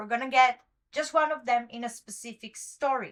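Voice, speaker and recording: Speaking at a moderate pace with a non-native accent, a woman projects her high voice. Her tone is bright and sharp. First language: not English. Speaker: webtoon commentary youtuber. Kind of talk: solo commentary monologue. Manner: occasional stumbling over words; casual, chatty.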